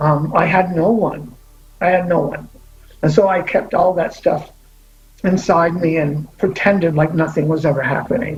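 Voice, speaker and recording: A man talks at a fairly slow pace with high pitch and fairly even intonation. Noticeable background noise runs underneath. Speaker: LGBTQ pioneer storyteller. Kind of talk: testimony. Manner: halting.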